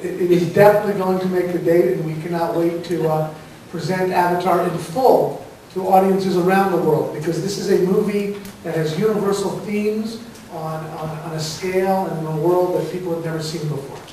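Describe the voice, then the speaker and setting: A high-pitched man talks at a fairly slow pace in a monotone, flat intonation. Light background noise and audible room echo are present. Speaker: film producer on panel. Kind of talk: press conference statement. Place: stage. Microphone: camera far.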